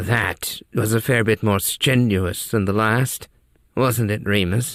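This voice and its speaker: Putting on a character voice, a man speaks in a raspy tone at a medium pitch. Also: fairly slow pace. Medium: read story. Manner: dry, somewhat formal.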